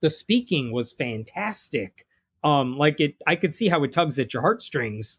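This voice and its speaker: The voice is somewhat breathy and fairly quick, recorded dry and close with no echo. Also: man. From Indian-American family, raised in Jain religion. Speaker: atheist author and blogger. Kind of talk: casual interview conversation.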